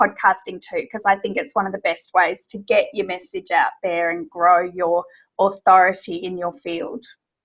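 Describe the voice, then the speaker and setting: A woman with an Australian accent, lively intonation and a moderate pace. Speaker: business coach. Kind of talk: interview.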